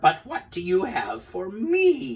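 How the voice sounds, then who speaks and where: A man growls through a put-on character voice at an extremely high pitch. His pitch swings very widely. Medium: read story. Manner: quiet, calm.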